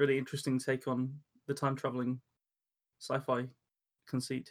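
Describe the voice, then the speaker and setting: Here a man talks with an English accent. His pitch is medium and his intonation fairly even. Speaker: podcast host and storyteller. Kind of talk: casual chat and story reading.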